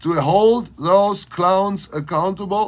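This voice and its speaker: A man speaks with a German accent. His tone is animated. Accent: German accent, harsh. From Germany, Berlin. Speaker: leather maker and local political commentator. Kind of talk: livestream rant.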